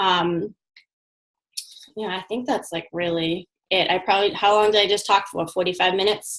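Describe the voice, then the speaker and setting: Speaking at a moderate pace with long, frequent pauses, a woman of medium pitch keeps a fairly even intonation. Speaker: online fitness coach. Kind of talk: casual chat.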